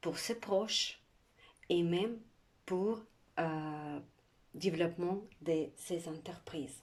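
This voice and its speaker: Long, frequent pauses break up a woman's speech at a very slow pace. Her pitch is fairly low, with ordinary variation. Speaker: art instructor. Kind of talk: tutorial.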